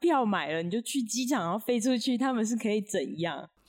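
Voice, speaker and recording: With very wide pitch swings, a woman with a fairly high pitch speaks at a moderate pace. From Taiwan. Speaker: podcast co-host, digital nomad. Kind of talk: casual chat.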